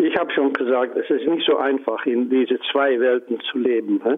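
A man speaking at a moderate pace with a Dutch accent. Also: very even loudness. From Netherlands. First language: Dutch (speaking German). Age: 80s. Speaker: Holocaust survivor and civil rights activist. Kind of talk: interview.

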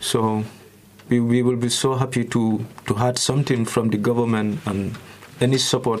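A man speaks at a very even loudness against noticeable background noise. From Gambia. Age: young. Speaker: asylum seeker. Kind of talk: testimony.

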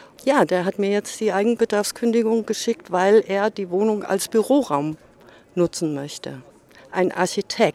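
The woman's voice sits at a medium pitch and varies in an ordinary way. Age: 60s. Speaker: local resident, retiree. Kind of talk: street interview.

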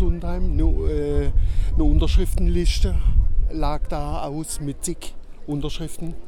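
Noticeable background noise accompanies this recording. A man speaks at a very slow pace. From Baden, Kehl. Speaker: local resident protester. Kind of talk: street interview.

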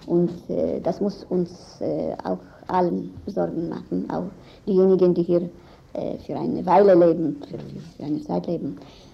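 Someone speaks with a non-native accent at a fairly slow pace. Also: woman. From Israel. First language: not German (speaking German). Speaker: lawyer and human rights activist. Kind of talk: interview. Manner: halting.

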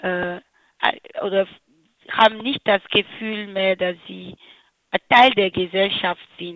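Speaking very slowly, the woman keeps her voice at a medium pitch. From Benin. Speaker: anti-discrimination trainer. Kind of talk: interview. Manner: halting, many fillers.

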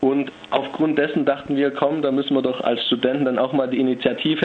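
Noticeable background noise sits behind a man talking at a moderate pace and medium pitch with monotone, flat intonation. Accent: Swabian. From Stuttgart, Germany. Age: 20s. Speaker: psychology student. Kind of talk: phone interview. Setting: phone call.

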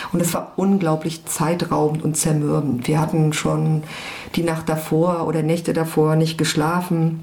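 With a very deep, low pitch, a woman speaks at a fairly slow pace in a monotone, flat intonation and very even loudness, amid noticeable background noise and audible room echo. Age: 40s. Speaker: former activist. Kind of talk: interview testimony.

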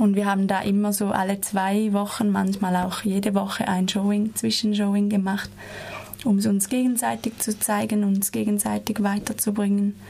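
A woman's monotone, flat intonation at a moderate pace and very even loudness, over noticeable background noise. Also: medium pitch for a woman. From Switzerland. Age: 20s. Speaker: dance student. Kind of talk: radio interview. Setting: studio.

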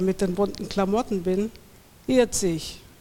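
Using a normal speaking voice, a woman talks at a medium pitch and a moderate pace with fairly even intonation. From Swabia, Göppingen area. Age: 40s. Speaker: poet. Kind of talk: poetry reading. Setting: stage with audience.

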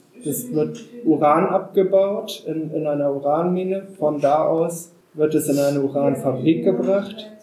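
Speaking at a fairly slow pace, a man uses a fairly high pitch and ordinary pitch variation over noticeable background noise. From northern Germany (Wendland, Lower Saxony). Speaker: anti-nuclear activist. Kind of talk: public talk.

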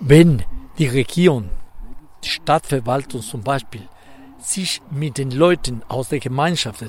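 Speaking fairly slowly with a Spanish accent, a man uses a fairly high pitch. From Ecuador. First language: Spanish (speaking German). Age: 70s. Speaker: economist, former minister. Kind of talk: interview.

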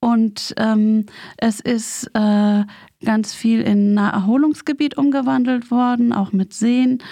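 A woman with a fairly high pitch and a dark, mellow tone talks at a very slow pace, her loudness very even and her pitch varying in an ordinary way. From West Berlin, Germany. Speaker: community radio maker, daughter of a peace activist. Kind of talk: radio interview. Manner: halting.

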